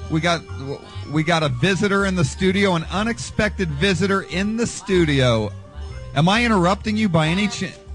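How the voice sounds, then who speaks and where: This man talks at a fairly quick pace with a high pitch and ordinary pitch variation. The sound is dry with no echo, and faint music plays behind him. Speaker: rock radio DJ. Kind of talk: rock radio show banter. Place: studio.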